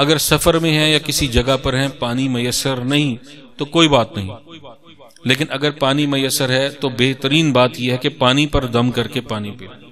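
A man talks at a fairly slow pace with fairly even intonation. Light background noise sits behind him. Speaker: religious teacher. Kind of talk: religious talk giving instructions. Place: home room. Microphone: studio mic.

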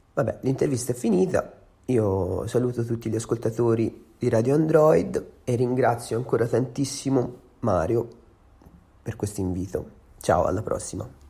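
At a moderate pace, a man talks at medium pitch in a dark, mellow tone that is somewhat breathy, with ordinary pitch variation. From Tuscany, Empoli. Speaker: singer-songwriter. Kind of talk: interview answers to read-out questions. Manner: halting, with many fillers.

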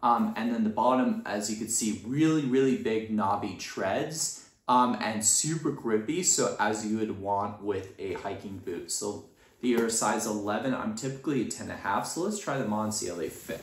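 A man speaks at a moderate speed with ordinary pitch variation, and audible room echo surrounds his voice. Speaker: product reviewer. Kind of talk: casual product review. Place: home room. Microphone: phone near.

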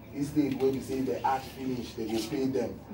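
A man talks at a medium speed over noticeable background noise. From Nigeria. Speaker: TV talk show host. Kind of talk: TV talk show hosting. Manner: playful, chatty. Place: studio.

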